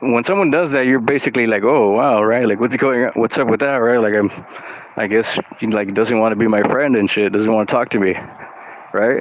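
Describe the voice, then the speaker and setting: Noticeable background noise sits behind a man talking at a fairly quick pace. His pitch is medium, with ordinary variation and very even loudness. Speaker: artist and vlogger. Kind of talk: casual monologue vlog. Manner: loud, extroverted; halting, lots of fillers.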